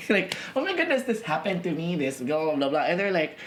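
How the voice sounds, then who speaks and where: A man's voice swings very widely in pitch. Noticeable background noise runs underneath. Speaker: podcast host. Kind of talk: casual chat. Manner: loud.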